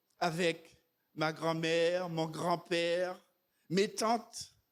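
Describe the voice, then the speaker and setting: In a very clean recording with a silent background, a man speaks at a high pitch. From Martinique. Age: 60s. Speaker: preacher. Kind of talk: sermon.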